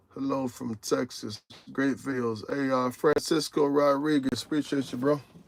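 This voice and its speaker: A man's fairly high voice moves along at a moderate pace. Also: fairly even intonation. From Tennessee (Morristown), US South. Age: 40s. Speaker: truck driver, live streamer. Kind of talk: casual live stream chat reading viewer comments. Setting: in truck cab at the yard. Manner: relaxed, conversational.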